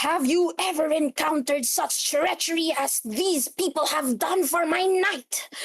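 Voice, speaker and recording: A put-on character voice, high-pitched and at a moderate pace. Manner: angry.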